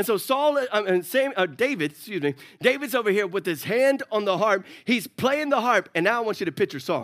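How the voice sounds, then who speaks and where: A man talks in a high pitch at a fairly quick pace, his tone animated and his intonation lively. The recording is very clean, with a silent background. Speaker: pastor. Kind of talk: sermon. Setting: church with congregation.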